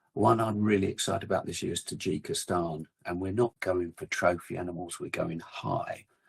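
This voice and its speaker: Speaking with an English accent at a moderate pace, a man talks with hardly any pauses. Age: 60s. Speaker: outdoor equipment company representative and hunter. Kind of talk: casual chat.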